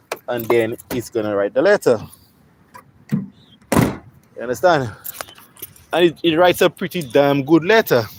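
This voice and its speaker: Amid noticeable background noise, a man speaks fairly slowly in a fairly high voice with very wide pitch swings and long, frequent pauses, the sound dry and close with no echo. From St. Lucia. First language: St. Lucian Creole. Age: 40s. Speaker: welder livestreamer. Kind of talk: casual chat. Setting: livestream in a workshop.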